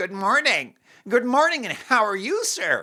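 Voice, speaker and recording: At a moderate pace, a put-on character voice with a fairly high pitch plays out in an American accent. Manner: wide open mouth, exaggerated.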